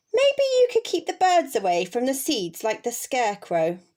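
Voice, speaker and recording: A woman talks at a moderate pace in a high pitch. She uses a put-on character voice. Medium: read story. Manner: bossy, brisk.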